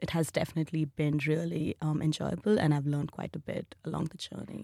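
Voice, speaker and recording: The voice has monotone, flat intonation and a dry, close sound with no echo. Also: woman. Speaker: HR professional and UQ alumna. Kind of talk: interview conversation. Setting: studio.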